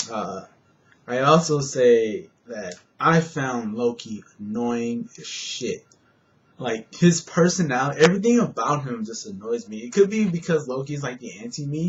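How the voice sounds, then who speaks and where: A somewhat breathy man at a medium pitch, fairly slow, with very wide pitch swings. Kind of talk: casual movie review to camera. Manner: rambling, hesitant.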